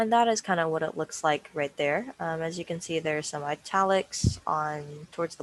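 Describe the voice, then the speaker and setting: An ordinary speaking voice moves at a moderate pace. Its pitch variation is ordinary. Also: woman. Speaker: workshop instructor. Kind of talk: tutorial.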